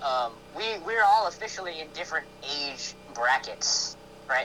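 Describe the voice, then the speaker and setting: A man's pitch swings very widely as he talks fairly slowly against noticeable background noise. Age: 20s. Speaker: podcast guest. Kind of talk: casual chat. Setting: live stream.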